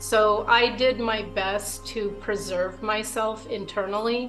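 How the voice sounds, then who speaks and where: A woman talks with fairly even intonation while music plays behind her. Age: 50s. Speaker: abuse survivor. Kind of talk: testimony to camera.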